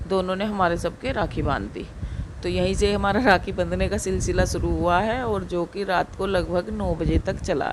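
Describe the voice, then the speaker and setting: A woman speaks at a middling speed while background noise is clearly audible. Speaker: village vlogger. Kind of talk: vlog narration.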